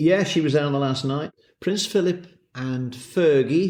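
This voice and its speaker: A man talks with a Welsh accent. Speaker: horse racing commentator and countryman. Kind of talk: interview.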